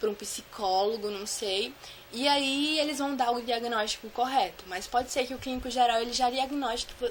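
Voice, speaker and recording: Fairly quick speech with ordinary pitch variation over noticeable background noise. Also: woman. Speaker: vlogger sharing anxiety disorder experience. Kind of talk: casual Q&A vlog. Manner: fast.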